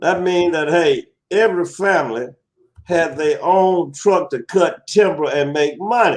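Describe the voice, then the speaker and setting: A man's high-pitched voice in a Southern US accent, at a fairly slow pace with ordinary pitch variation. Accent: southern twang. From US South, Alabama. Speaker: talk show guest. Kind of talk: casual interview chat. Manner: halting, many repetitions.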